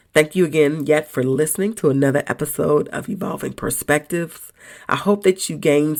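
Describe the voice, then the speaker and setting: Her voice is very deep and low, with vocal fry, ordinary pitch variation and a moderate pace, as a woman speaks. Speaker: podcast host. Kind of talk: motivational monologue. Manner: casual, conversational.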